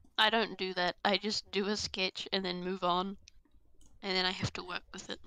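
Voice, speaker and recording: The woman's bright, sharp voice sits at medium pitch, with monotone, flat intonation, a moderate pace, and long, frequent pauses. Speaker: artist guest on stream. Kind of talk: casual chat while drawing on stream.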